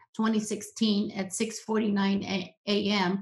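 A woman's somewhat breathy voice is heard against a quiet background. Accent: American. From US-Mexican border region. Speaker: social psychologist, professor; professor. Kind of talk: presentation with slides. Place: home room. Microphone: webcam.

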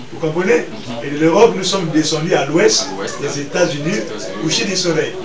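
A man is speaking, with noticeable background noise in the recording. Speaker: pastor guest. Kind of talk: interview answer. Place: home room. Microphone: camera far.

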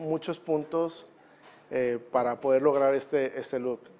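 Ordinary pitch variation marks this man's speech, which moves at a fairly slow pace. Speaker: guest. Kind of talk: interview answer. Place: studio. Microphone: lapel.

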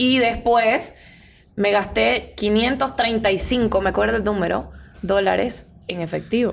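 A woman with vocal fry and ordinary pitch variation at a fairly slow pace, with light background noise. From Bolivia, Santa Cruz de la Sierra; Bolivia. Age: 20s. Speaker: carnival queen; guest. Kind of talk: casual interview chat. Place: studio. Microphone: studio mic.

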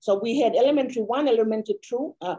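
Against a quiet background, the voice has a dark, mellow tone and a Papua New Guinean accent. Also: woman. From Papua New Guinea, East New Britain. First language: Kuanua. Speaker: education researcher; panelist. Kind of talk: panel discussion. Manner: halting, many repetitions. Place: office. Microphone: video call.

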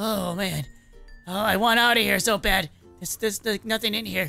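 Over faint music, a put-on character voice at a middle pitch moves along at a fairly quick pace. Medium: role play. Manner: panicky, stammering.

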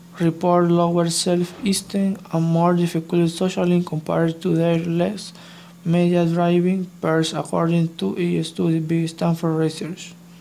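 A woman with a non-native accent speaks at a fairly slow pace in a dark, mellow tone, with a fairly low pitch, very even loudness and monotone, flat intonation. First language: not English. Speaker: EFL student. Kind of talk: scripted class presentation reading.

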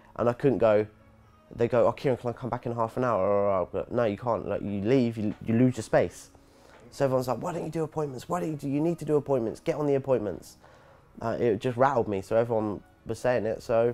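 A man speaks at a very fast pace with ordinary pitch variation. Faint music sits in the background. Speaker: interviewee. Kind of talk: interview answer. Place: shop. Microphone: lapel.

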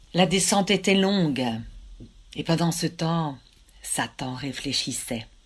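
A woman's fairly low, somewhat breathy voice with a dramatic tone and lively intonation, very slow pace with long, frequent pauses, on a very clean recording with a silent background. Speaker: storyteller. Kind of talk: folk tale storytelling. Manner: measured, dramatic narration with suspenseful pauses; voices God and Satan in quoted dialogue.

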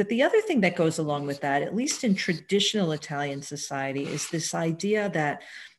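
With an ordinary speaking voice, a woman talks at a fairly quick pace and fairly low pitch, with lively intonation, hardly any pauses, and light background noise. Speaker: professor asking a question. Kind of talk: audience question. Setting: video call. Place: home room. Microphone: headset.

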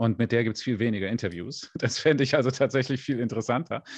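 Over a quiet background, a man speaks at a very fast pace in a dry sound with no echo. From Germany. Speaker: space YouTuber. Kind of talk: interview. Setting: livestream. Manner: hesitant, many fillers. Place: home room. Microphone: studio mic.

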